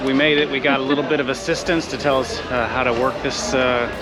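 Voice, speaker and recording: A man's fairly high voice at a fairly quick pace, ordinary pitch variation, audible room echo and noticeable background noise. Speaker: travel vlogger. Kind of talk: casual travel vlog talk. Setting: restaurant and church in London.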